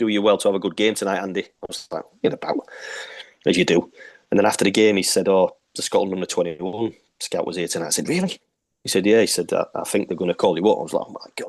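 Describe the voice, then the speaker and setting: This man talks at a very fast pace with a Yorkshire accent. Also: dry, close sound with no echo. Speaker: retired footballer. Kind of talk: interview.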